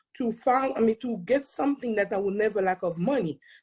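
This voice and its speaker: A somewhat breathy, fairly high female voice with very wide pitch swings and a strong Haitian accent. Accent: thick Haitian French Creole. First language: Haitian Creole or French. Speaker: accountant and speaker. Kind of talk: testimony. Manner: fast when excited.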